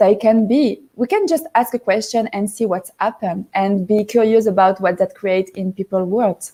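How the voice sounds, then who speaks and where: Dark and mellow in tone, a woman speaks with a fairly high pitch and ordinary pitch variation. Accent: French. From southern France, Marseille. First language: French. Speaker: life coach guest. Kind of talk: casual interview. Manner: halting.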